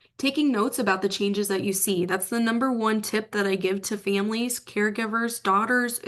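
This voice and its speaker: Over a quiet background, a woman speaks in a plain, everyday voice at a medium pitch with ordinary pitch variation. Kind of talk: presentation.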